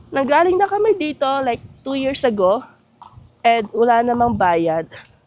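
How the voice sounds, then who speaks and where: Over noticeable background noise, a woman speaks at a moderate pace in a high pitch, her voice making very wide pitch swings. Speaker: travel vlogger. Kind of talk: vlog narration.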